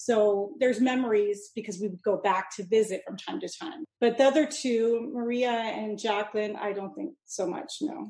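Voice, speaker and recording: Speaking with a Californian accent, a woman has a fairly high pitch, a dark, mellow tone and a somewhat breathy quality. Her pace is moderate, her pitch variation ordinary, and she leaves hardly any pauses. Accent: Californian American. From Mojave Desert, southern California. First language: Italian (Sicilian and Neapolitan dialects). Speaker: chef and business owner. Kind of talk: interview conversation.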